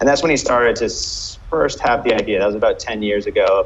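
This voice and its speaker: A man in an American accent talks fairly quickly as noticeable noise carries in the background. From US, New York. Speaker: restaurant and bar company CEO. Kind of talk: interview.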